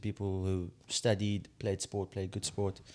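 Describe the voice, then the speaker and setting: A man with a South African accent, a fairly low pitch and a moderate pace, in a very clean recording with a silent background. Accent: Zulu South African English. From South Africa, KwaZulu-Natal. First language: Zulu. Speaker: podcast host. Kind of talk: podcast interview. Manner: casual, conversational.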